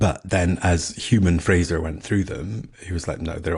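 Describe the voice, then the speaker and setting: A man with a Scottish accent, a very deep, low pitch, a somewhat breathy voice and a moderate pace. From Scotland. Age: middle-aged. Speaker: podcast host and author. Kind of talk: casual monologue. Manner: animated.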